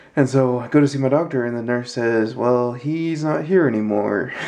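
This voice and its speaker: A man's medium-pitched voice at a fairly slow pace with ordinary pitch variation. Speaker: wheelchair user with spina bifida. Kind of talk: casual talk to camera.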